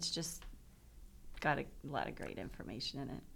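Vocal fry from a woman with an American accent, amid audible room echo. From Pittsburgh, Pennsylvania. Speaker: author. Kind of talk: interview. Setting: studio.

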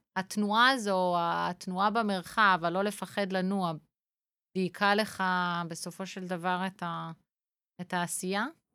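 On a very clean recording with a silent background, a woman speaks very slowly with long, frequent pauses. Her medium-pitched voice has a bright, sharp tone and fairly even intonation. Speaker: podcast host. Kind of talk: interview.

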